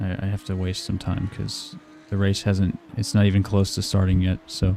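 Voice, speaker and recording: A man speaks quietly at a moderate pace in a fairly low, flat monotone, with music playing in the background. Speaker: sim racing streamer. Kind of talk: live stream commentary.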